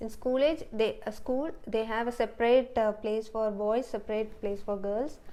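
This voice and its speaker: A woman with an Indian accent speaks in a dark, mellow tone with fairly even intonation. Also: fairly high pitch for a woman, moderate pace. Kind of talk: interview answer. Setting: apartment. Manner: strong leadership in her tone.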